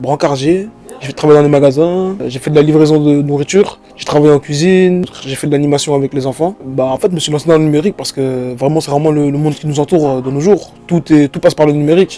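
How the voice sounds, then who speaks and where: Very fast male speech, fairly high in pitch with fairly even intonation, over noticeable background noise. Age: 20s. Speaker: trainee in digital training. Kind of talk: interview testimony. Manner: hesitant, many fillers.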